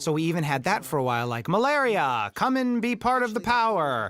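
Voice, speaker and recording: The speaker is a man with a fairly quick pace. He swings his pitch very widely. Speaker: film director. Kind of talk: audio commentary.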